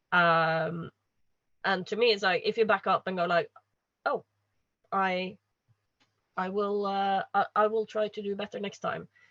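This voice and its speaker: In a Norwegian accent, a woman speaks at a fairly slow pace with fairly even intonation and long, frequent pauses, the sound dry and close with no echo. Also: medium pitch for a woman. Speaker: panelist. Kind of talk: panel discussion. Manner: halting.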